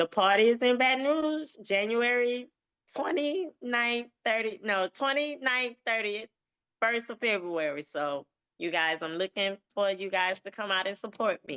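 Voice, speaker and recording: A woman speaks at a fairly high pitch with a bright, sharp tone and lively intonation. The sound is dry and close, with no echo. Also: fairly slow pace. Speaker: event promoter. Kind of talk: casual chat. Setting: livestream.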